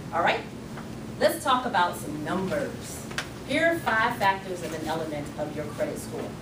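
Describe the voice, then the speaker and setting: There is noticeable background noise. A woman talks at a moderate pace. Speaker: credit restoration speaker and author. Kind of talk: workshop talk. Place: meeting room. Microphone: camera far.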